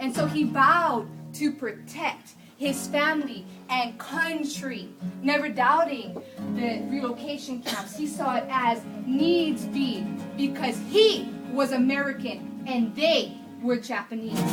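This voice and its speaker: A high-pitched woman's voice at a fairly slow pace, with music in the background. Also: ordinary pitch variation. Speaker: spoken word artist. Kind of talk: slam poetry performance. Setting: live outdoor festival stage with background music. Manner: slow, emotional storytelling.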